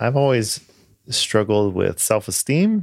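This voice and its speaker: A man's lively intonation on a very clean recording with a silent background. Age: 40s. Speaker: podcast host, former teacher. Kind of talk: interview. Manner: hesitant, many fillers.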